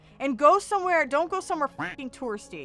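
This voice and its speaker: The voice, with an American accent, sounds bright and sharp and animated, its pitch swinging very widely on a very clean recording with a silent background. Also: woman. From US Midwest, Kansas City. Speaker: YouTuber, filmmaker. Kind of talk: casual vlog monologue.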